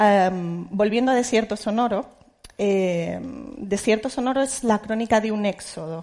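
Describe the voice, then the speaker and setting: In a Spanish accent, a woman speaks at a very slow pace with ordinary pitch variation. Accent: Peninsular Spanish. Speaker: journalist moderator. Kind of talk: panel moderation. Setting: auditorium with audience. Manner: halting.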